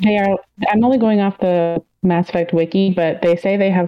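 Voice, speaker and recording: At a moderate pace, a woman with an ordinary speaking voice talks with fairly even intonation. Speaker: patron chat participant. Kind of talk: casual group chat. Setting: live video chat.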